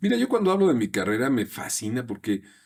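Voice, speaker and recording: With lively intonation and a relaxed tone, a man speaks at a medium pitch. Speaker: voice actor. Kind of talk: interview answer. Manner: relaxed, conversational.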